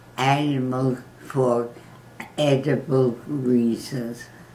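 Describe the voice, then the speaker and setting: This woman's pitch is very deep and low. She talks at a very slow pace. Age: 90s. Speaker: grandmother giving advice. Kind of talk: casual interview answer.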